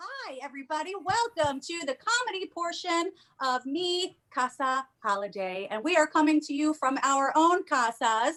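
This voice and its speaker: With a Long Island accent, a high-pitched woman talks with hardly any pauses and very wide swings in pitch. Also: moderate pace. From New York, Long Island and New York City. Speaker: comedian hosting a comedy showcase. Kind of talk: event hosting introduction. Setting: home, remote streaming. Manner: casual, chatty with fillers.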